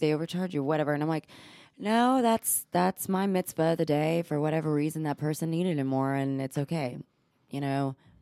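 A woman speaks with a Texan accent in a very deep, low pitch. Her tone is dark and mellow, and her pace is very fast. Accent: Texan-tinged American English. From Texas, born in Israel. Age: 30s. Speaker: cosmetic injector, podcast co-host. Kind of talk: casual chat.

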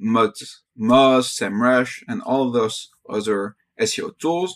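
In a normal speaking voice, a man talks at a medium pitch, with a dry, close sound and no echo. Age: young. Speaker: startup founder. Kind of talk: interview.

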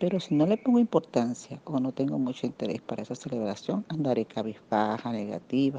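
A woman speaks with a very deep, low pitch and a dark, mellow tone, swinging very widely in pitch. Her fairly quick delivery has a dry, close sound with no echo. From Venezuela. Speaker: radio panelist. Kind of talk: prepared talk.

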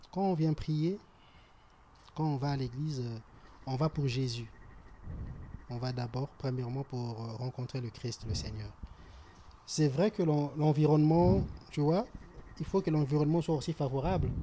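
Fairly high for a man yet dark and mellow in tone, his somewhat breathy voice moves at a fairly quick pace with ordinary pitch variation and long, frequent pauses. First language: French. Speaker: church member. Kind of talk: casual discussion.

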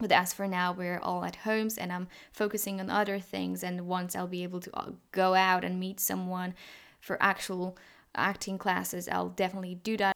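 Recorded very cleanly over a silent background, a woman talks at a moderate pace and medium pitch in an ordinary speaking voice. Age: 20s. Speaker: podcast host. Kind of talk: casual monologue.

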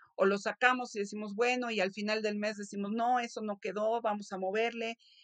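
A woman's monotone, flat delivery, dry and close with no echo. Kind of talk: interview. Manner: halting, frequent word repetitions.

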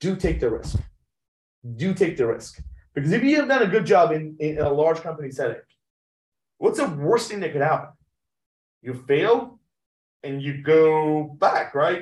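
The speaker uses lively intonation at a moderate pace, broken by long, frequent pauses. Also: man, fairly high pitch for a man. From Iran (Tehran), moved to US at 16. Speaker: medtech company CEO. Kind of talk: interview. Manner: halting, many fillers.

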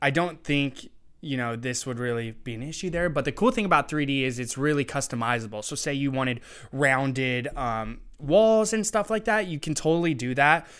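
A man with an American accent and an unremarkable speaking voice, fairly high in pitch, with lively intonation at a moderate pace, on a very clean recording with a silent background. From Eastern Washington, US. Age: 20s. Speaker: 3D printing entrepreneur. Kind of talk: interview. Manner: casual, many filler words.

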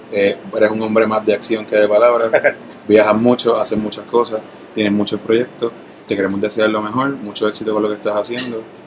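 A man's fairly low, monotone voice at a fairly quick pace, flat in intonation, over noticeable background noise. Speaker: podcast host interviewer. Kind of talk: casual interview.

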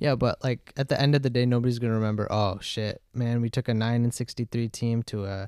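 Recorded very cleanly against a silent background with a dry, close sound and no echo, a man speaks at a fairly quick pace in a dark, mellow tone at medium pitch. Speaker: college student. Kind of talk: casual chat.

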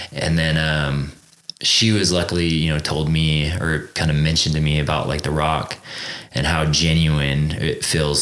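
A man with an American accent speaks at a moderate pace in a very deep, low pitch and a monotone, flat intonation. Noticeable background noise runs underneath. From Central California. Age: 30s. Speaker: actor. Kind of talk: casual chat.

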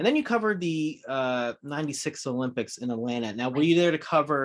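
Over a quiet background, a man with a fairly high pitch talks at a fairly quick pace in a plain, everyday voice. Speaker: horror podcast co-host. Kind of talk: casual interview chat.

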